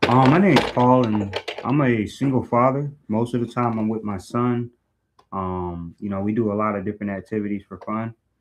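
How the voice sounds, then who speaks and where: A man with an American accent and a normal speaking voice, fairly low in pitch, with fairly even intonation and a fairly quick pace. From Orlando, Florida. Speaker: brand ambassador. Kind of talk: casual chat. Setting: video call.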